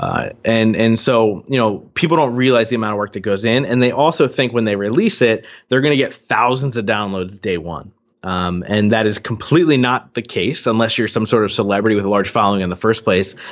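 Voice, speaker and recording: An ordinary speaking voice from a man, medium in pitch with ordinary pitch variation, at a fairly quick pace with hardly any pauses. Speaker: podcast host and coach. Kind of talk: casual interview conversation.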